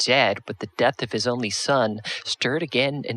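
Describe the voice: Someone performs plain reading aloud here.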